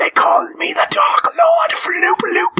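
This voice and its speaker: A man's put-on character voice, shouting at an extremely high pitch and a very slow pace. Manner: sinister but cute, no longer scary.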